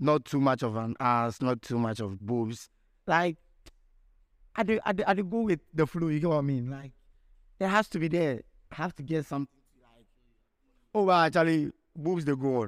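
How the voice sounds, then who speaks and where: A man with a Ghanaian accent and a fairly high pitch speaks in an animated tone with lively intonation, long, frequent pauses, and big swings in loudness, in a very clean recording with a silent background and a dry, close sound with no echo. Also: moderate pace. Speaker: podcast host. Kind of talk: casual chat. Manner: animated, slangy.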